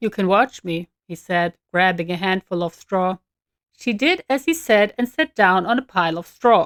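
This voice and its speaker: A woman's lively intonation at a moderate pace, an ordinary speaking voice, with a dry, close sound and no echo. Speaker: author reading own novel. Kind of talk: audiobook fiction narration.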